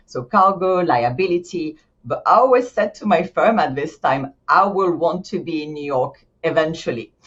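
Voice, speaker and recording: The speech has a French accent, lively intonation and a moderate pace. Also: woman, fairly low pitch for a woman. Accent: French accent, still noticeable. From France, Paris. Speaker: insurance executive. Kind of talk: podcast interview. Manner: animated; halting, frequent restarts.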